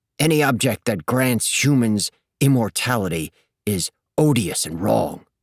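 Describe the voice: Over quiet surroundings, someone reads aloud plainly, the intonation lively.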